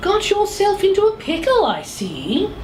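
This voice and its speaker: In a put-on character voice, a woman talks squeakily at an extremely high pitch and a moderate pace, with clear background noise behind her. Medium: read story. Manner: purring, condescending.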